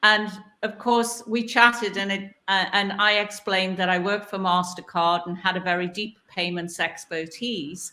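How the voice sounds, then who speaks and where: In a Newcastle accent, a woman with a medium-pitched, bright, sharp voice talks at a moderate pace with fairly even intonation and hardly any pauses. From northern England, Newcastle. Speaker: board director, panelist. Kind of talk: panel discussion.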